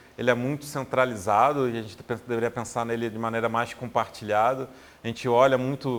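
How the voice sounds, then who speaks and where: This man's intonation is monotone and flat. He talks fairly quickly at a medium pitch. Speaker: designer speaking on health user experience. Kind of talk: recorded tech talk. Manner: fast; hesitant, many repetitions.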